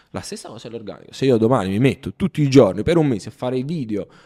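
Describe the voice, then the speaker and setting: A man's medium-pitched voice with lively intonation at a very fast pace, dry and close with no echo. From Italy. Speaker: e-commerce entrepreneur and online course creator. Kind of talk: casual interview chat.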